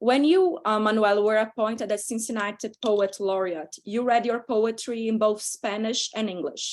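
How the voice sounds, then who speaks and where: A woman with a Brazilian accent speaks at a fairly high pitch. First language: Portuguese. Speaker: panel moderator. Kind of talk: panel moderation. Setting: video call.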